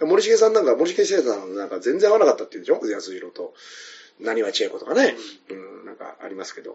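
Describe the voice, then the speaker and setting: A man talking at a very fast pace, with big swings in loudness. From Tokyo, Koto ward (Kameido). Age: 40s. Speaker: comedian. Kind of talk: casual chat. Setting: restaurant. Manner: animated.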